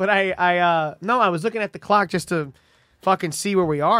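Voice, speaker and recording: The man speaks at a high pitch. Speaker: comedian podcast host. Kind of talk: casual chat. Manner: animated.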